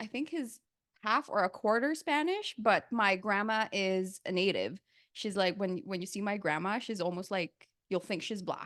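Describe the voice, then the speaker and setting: A woman with a Filipino accent speaks at a moderate pace. Her medium-pitched voice has lively intonation. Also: quiet background. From Philippines. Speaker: podcast guest. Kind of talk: casual chat.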